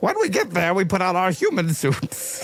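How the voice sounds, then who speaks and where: A man performs a put-on character voice at a moderate pace with very even loudness. Clear background noise can be heard. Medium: actual play.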